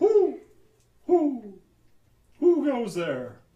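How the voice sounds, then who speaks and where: A put-on character voice is used here. It sits at a high pitch. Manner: playful.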